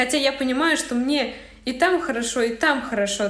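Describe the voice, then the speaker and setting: Ordinary pitch variation comes through with audible room echo and noticeable background noise. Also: woman. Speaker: young mother, aspiring entrepreneur. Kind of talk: personal testimony in coaching chat. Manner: loud, abrupt.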